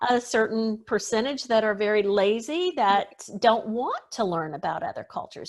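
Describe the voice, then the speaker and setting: A woman with an American accent and a normal speaking voice talks at a moderate pace, her fairly high pitch carried by lively intonation. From US South. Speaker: etiquette expert. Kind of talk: interview.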